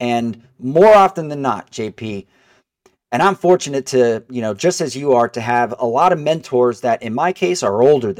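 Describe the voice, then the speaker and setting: In an unremarkable speaking voice, a man talks at a moderate pace with a medium pitch and lively intonation. The recording is very clean with a silent background, and the sound is dry and close with no echo. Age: 40s. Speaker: mortgage broker. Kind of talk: casual chat.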